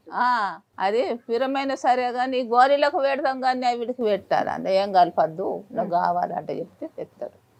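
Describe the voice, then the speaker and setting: The speaker has a rural Telangana accent. The intonation is lively. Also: woman, high pitch for a woman. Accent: rural Telangana Telugu. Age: 80s+. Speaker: elderly villager. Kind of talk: casual interview chat.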